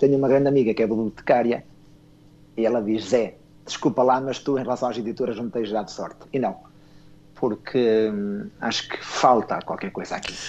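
A man talks at a fairly quick pace in a medium pitch with fairly even intonation. His is an unremarkable speaking voice. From northern Portugal (Esposende). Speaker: children's book writer. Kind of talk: radio interview.

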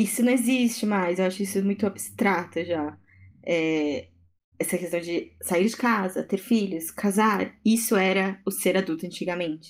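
A woman with an unremarkable speaking voice talks at a fairly slow pace with medium pitch and ordinary pitch variation. The recording is very clean, with a silent background. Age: 20s. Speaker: fashion designer. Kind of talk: casual chat.

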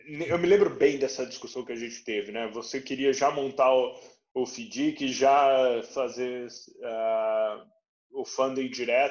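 This man talks at a very slow pace. His medium-pitched voice keeps a fairly even intonation. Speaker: venture capital investor, podcast host. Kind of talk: interview.

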